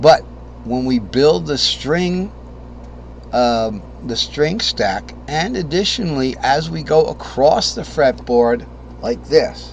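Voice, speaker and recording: A man speaks at a very slow pace against noticeable background noise. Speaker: guitar teacher. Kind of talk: tutorial.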